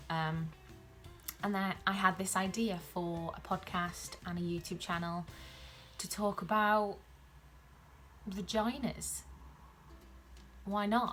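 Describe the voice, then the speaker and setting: A woman with a South Welsh accent speaks very slowly, leaving long, frequent pauses. Her medium-pitched voice keeps a fairly even intonation. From Wales (South Wales). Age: 20s. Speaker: YouTuber and podcaster on women's health. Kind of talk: casual vlog introduction. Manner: hesitant, many filler ums.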